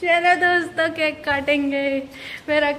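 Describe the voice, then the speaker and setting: The speech has monotone, flat intonation, with audible room echo and noticeable background noise. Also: woman. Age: 20s. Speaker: vlogger. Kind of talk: casual vlog chat.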